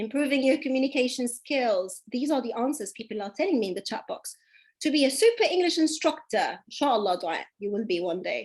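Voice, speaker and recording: A woman with a British accent speaks at a moderate pace and high pitch, her voice moving in very wide pitch swings. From Dubai, UAE. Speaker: English teacher. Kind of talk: online class. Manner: animated.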